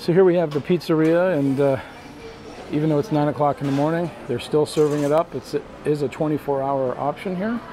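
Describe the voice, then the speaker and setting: Music plays behind a man speaking at a moderate pace. His voice is fairly high with ordinary pitch variation. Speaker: cruise travel video host. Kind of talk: walking ship tour narration, pointing out venues to camera. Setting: onboard cruise ship, partly outdoors on windy deck. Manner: relaxed, chatty, frequent 'uh' fillers; friendly enthusiastic, upbeat asides. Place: hall. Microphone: phone near.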